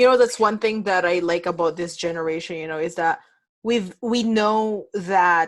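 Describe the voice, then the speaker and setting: In a very clean recording with a silent background, a woman with a non-native accent speaks at a moderate pace. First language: not English. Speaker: podcast host. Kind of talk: casual interview.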